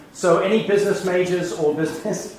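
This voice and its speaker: A man speaks with a high-pitched voice for a male. There is audible room echo and noticeable background noise. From England. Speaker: business executive. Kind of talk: lecture.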